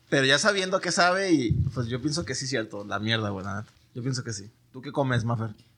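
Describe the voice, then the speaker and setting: Lively in intonation and bright and sharp in tone, a man with a Mexican accent speaks at a very fast pace in a medium pitch. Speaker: podcast host. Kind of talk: casual chat. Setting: studio.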